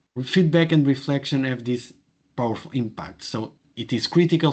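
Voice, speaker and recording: Against a quiet background, a man with a Portuguese accent speaks at a moderate pace and medium pitch, with ordinary pitch variation. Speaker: professor. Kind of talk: webinar presentation. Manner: halting, many fillers.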